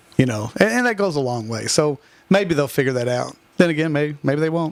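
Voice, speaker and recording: Against noticeable background noise, a man with a Kentucky accent talks at a fairly quick pace. His fairly high voice has lively intonation. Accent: Southern US (Kentucky). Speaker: high school softball head coach. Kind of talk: radio interview. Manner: loud.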